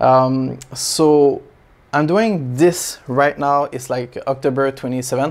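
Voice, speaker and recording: The speech comes at a fairly slow pace in a French accent. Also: man. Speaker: aquarium hobby YouTuber. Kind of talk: casual vlog update. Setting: small home space. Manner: halting, many fillers.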